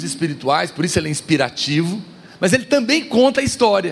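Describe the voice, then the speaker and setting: A man at a moderate pace with very wide pitch swings, against noticeable background noise. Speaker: pastor. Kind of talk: sermon. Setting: church. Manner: soft-spoken.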